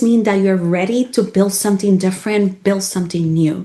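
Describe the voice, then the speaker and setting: A woman at a medium pitch and moderate pace, with noticeable background noise. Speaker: podcast host. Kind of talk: interview questions. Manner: upbeat.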